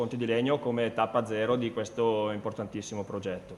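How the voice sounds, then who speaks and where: Over noticeable background noise, a man with an Italian accent and medium pitch talks at a very fast pace. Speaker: mayor. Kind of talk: welcome speech.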